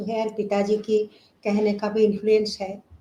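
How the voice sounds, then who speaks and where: A woman's dark, mellow voice at a fairly high pitch, with a non-native accent. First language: not Hindi (speaking Hindi). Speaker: classical vocalist. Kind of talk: interview. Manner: halting.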